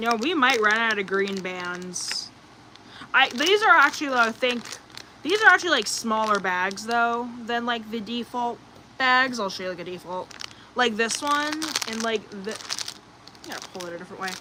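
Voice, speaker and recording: Over noticeable background noise, a woman with a fairly high pitch speaks at a moderate pace, her loudness swinging widely. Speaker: livestreamer. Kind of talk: casual chat. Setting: livestream. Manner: hesitant, many fillers.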